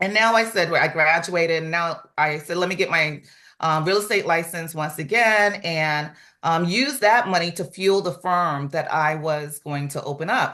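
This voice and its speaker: The woman's pitch is fairly low and her tone bright and sharp. She keeps a moderate pace with ordinary pitch variation against a quiet background. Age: 60s. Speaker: real estate office manager. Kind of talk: testimony.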